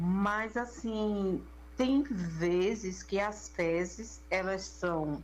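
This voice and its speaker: A woman speaks at a medium pitch with ordinary pitch variation and a somewhat breathy quality. Room echo is audible around her voice. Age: 60s. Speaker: listener sharing a health case. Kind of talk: recorded personal testimony.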